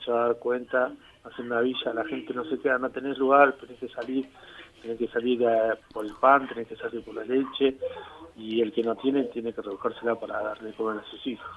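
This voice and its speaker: Against noticeable background noise, a man speaks in a monotone, flat intonation with big swings in loudness. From Argentina, Greater Buenos Aires (Avellaneda/Quilmes). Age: 40s. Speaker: community leader in a shantytown. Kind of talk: interview. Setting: phone call. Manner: halting, many fillers and repetitions.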